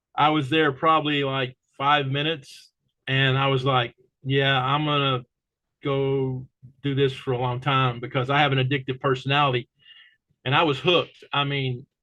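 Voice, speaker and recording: A man's fairly high pitch in a monotone with flat intonation. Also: moderate pace. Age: 60s. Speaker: paintball commentator and show host. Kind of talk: casual interview.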